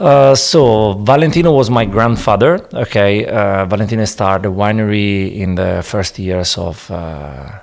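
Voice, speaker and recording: A man with an Italian accent, fairly low pitch, lively intonation and a moderate pace. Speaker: winemaker. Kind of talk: interview. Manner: halting, hesitant English.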